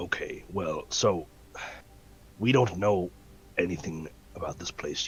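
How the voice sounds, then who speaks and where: In a raspy, put-on character voice with very deep, low pitch, a man talks over clear background noise. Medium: actual play. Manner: careful, deliberate.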